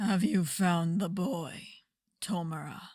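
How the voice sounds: A raspy, put-on character voice at a middle pitch. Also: fairly slow pace, very clean recording, silent background.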